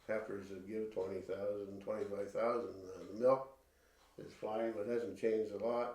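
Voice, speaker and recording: Heard with audible room echo, a man speaks in a dark, mellow tone at medium pitch, keeping a moderate pace and fairly even intonation. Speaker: dairy cattle breeder. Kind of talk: interview. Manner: soft-spoken.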